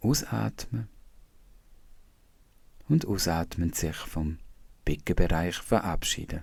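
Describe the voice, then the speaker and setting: A man with a Swiss German accent speaks at a very slow pace in a very deep, low pitch, his calm tone carrying lively intonation, vocal fry, and long, frequent pauses. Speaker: meditation teacher. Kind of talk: guided body scan meditation. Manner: slow, calm, soft-spoken.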